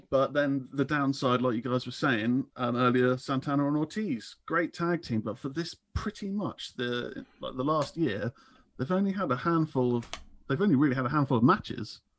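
A man's fairly high-pitched voice at a moderate pace with ordinary pitch variation, an ordinary speaking voice, over a quiet background. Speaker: caller and listener. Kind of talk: casual chat. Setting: video call or phone call.

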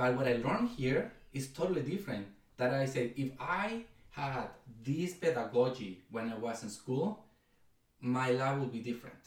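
A man with a Spanish accent speaks at a moderate pace and medium pitch. His voice is somewhat breathy, with lively intonation. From Mexico, Ciudad Guzmán. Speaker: education nonprofit co-founder. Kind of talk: casual interview.

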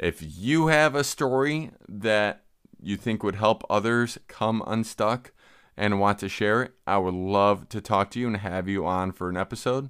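Recorded very cleanly with a silent background, a man with an unremarkable speaking voice talks at a fairly slow pace, with fairly low pitch and ordinary pitch variation. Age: 40s. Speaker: life coach and podcast host. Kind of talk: solo podcast monologue.

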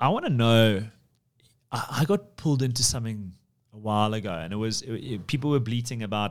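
Speaking with a South African accent, a man keeps his intonation fairly even. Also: very clean recording, silent background. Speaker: podcast host, property firm CEO. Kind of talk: casual business chat.

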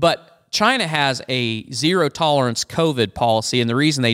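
A man talks at a fairly quick pace with ordinary pitch variation in a normal speaking voice. The recording is very clean with a silent background and a dry, close sound with no echo. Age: 50s. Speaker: farmer, co-host's father. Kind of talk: casual political chat.

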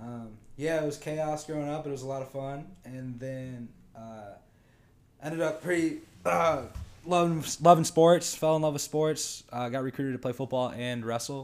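A man with a plain, everyday voice and an American accent talks at a moderate pace. His fairly high pitch has ordinary variation, and his loudness swings widely. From Michigan. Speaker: college wrestler. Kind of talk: casual chat.

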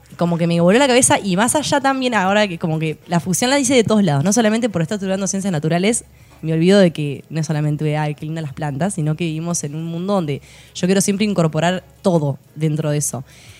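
Very fast and lively in intonation, a woman speaks at a fairly low pitch. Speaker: landscape designer. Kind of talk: casual interview chat.

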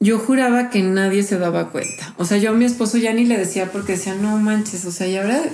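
A woman of medium pitch talks at a fairly quick pace with hardly any pauses and ordinary pitch variation, amid noticeable background noise and audible room echo. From Mexico City. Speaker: healer and graphic designer. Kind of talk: interview testimony. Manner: casual, hesitant with fillers.

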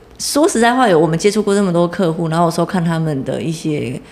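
A woman at a moderate pace with very wide pitch swings over noticeable background noise. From southern Taiwan, Chiayi. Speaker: digital marketing entrepreneur. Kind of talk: casual interview. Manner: energetic.

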